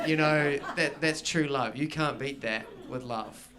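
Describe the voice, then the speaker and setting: A man with a New Zealand accent and a fairly high pitch speaks at a fairly slow pace over noticeable background noise. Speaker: stand-up comedian. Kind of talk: live stand-up comedy performance.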